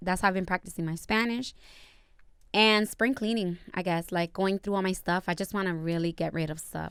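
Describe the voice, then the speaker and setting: A woman's normal speaking voice with an American accent, medium in pitch, at a moderate pace with fairly even intonation, on a very clean recording with a silent background. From Dominican heritage, US. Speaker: podcast host. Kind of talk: casual chat.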